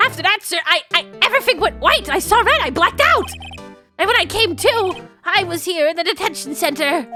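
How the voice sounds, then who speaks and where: A loud, strained put-on character voice moves at a fairly quick pace while faint music plays in the background. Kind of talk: comic overacting. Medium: game stream. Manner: shouting, says "sir" constantly, military-formal.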